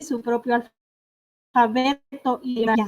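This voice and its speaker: Speech comes at a very slow pace in a Michoacán accent, with monotone, flat intonation. The sound is dry and close with no echo. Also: woman. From Michoacán, Mexico (Purépecha community, Ahuirán). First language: Purépecha (speaking Spanish). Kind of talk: panel talk. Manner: halting, many fillers.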